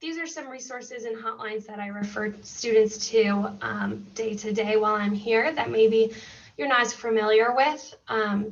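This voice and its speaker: A woman with an American accent and a plain, everyday voice speaks at fairly high pitch, her loudness swinging widely. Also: ordinary pitch variation, moderate pace. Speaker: school mental health counselor. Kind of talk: presentation.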